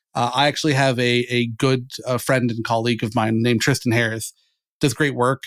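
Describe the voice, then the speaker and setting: The speaker has an American accent and a monotone, flat intonation at a fairly quick pace. The recording is very clean, with a silent background. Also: man, medium pitch for a man. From Florida. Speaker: SEO lead. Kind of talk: podcast interview. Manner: loud.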